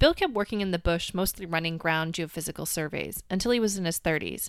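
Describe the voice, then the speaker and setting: Very clean recording, silent background, a woman at a fairly low pitch with ordinary pitch variation and a very fast pace. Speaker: podcast host and science communicator. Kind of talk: scripted narration. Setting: home closet recording.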